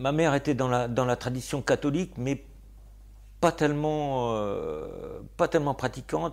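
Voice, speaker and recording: A man's medium-pitched voice at a fairly slow pace, with ordinary pitch variation, in a very clean recording with a silent background. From Normandy, France (Argentan). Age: 60s. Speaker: poet and gardener. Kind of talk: interview. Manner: hesitant, many fillers.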